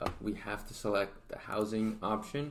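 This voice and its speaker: With audible room echo, a man speaks at a fairly low pitch with an American accent. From Oregon, US. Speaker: real estate marketing YouTuber. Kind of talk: tutorial. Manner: casual, filler-heavy.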